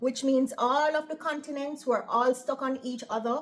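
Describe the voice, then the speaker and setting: A woman with a high voice speaks in an animated tone. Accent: Jamaican. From Jamaica. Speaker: operating room nurse and vlogger. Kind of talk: casual vlog monologue. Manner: lilting intonation.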